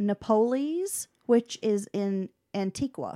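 Very clean and dry, with a close sound, no echo and a silent background, this recording captures a woman's plain, everyday voice at a fairly high pitch with lively intonation. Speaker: podcast host. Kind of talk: casual banter. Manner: joking, playful.

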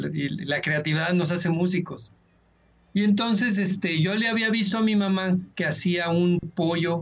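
This man speaks at a fairly slow pace in a high pitch, with ordinary variation in his pitch. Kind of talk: casual chat.

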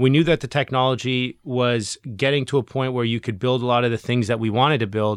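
A man talks in a normal speaking voice at a medium pitch. His pace is fairly quick, with hardly any pauses and fairly even intonation. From Canada. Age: 30s. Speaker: legal tech startup CEO. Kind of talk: interview.

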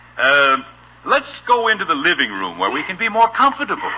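In a put-on character voice, a man talks at a fairly quick pace and fairly high pitch, bright and sharp with a slightly husky edge and very wide pitch swings.

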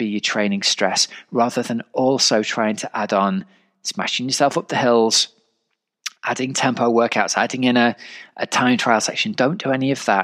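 At a moderate pace, a man with an ordinary speaking voice talks at a medium pitch, the sound dry and close with no echo. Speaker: triathlon coach and podcast host. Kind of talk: podcast intro and interview.

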